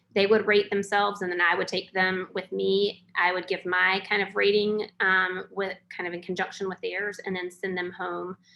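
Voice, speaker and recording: Speech in a North Carolina accent moves at a moderate pace with hardly any pauses. The intonation stays monotone and flat. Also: woman, medium pitch for a woman. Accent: Southern US (North Carolina). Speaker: educator and webinar presenter. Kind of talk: webinar presentation. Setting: online webinar.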